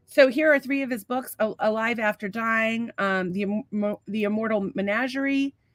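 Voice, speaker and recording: In an ordinary speaking voice, a woman with an American accent talks at a fairly high pitch and a moderate pace, with ordinary pitch variation and hardly any pauses. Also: dry, close sound with no echo. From Massachusetts. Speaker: podcast co-host. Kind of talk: casual chat. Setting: studio.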